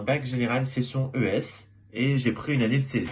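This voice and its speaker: A man speaks in a medium-pitched, somewhat breathy voice. His pace is moderate. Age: 20s. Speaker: former student. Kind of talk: testimony.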